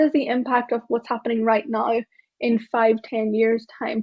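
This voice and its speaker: With an Irish accent, a woman speaks at a fairly high pitch. Her intonation is monotone and flat. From Ireland, small town. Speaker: tech diversity speaker and author. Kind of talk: keynote talk. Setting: stage with live audience.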